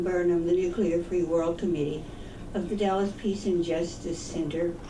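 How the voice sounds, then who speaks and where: Audible room echo surrounds a woman's voice. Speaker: peace activist. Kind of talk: public talk.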